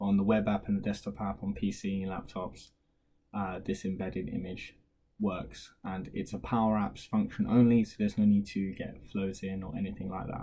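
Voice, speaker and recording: The man's voice is quiet, with a fairly low pitch. Its tone is dark and mellow. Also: fairly even intonation, moderate pace. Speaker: tech tutorial creator. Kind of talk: screen-recorded software tutorial. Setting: at home, baby sleeping downstairs. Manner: speaking quietly; casual with many fillers.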